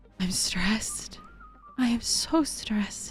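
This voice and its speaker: The pace is very slow, and the pitch varies an ordinary amount. Noticeable background noise runs behind the voice. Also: woman. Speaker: vlogger sharing personal experience. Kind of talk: emotional personal testimony. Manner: halting, repetitive.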